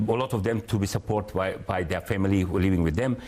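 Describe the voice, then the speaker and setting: A man with a Macedonian accent. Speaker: company founder and director. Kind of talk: TV interview. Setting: studio. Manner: halting, many fillers.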